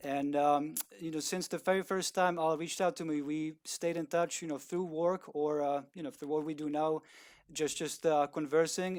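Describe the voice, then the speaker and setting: A man's fairly high voice with fairly even intonation, in a very clean recording with a silent background. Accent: Eastern European. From Czech Republic. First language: Czech. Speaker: video producer. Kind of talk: interview. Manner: hesitant, many fillers.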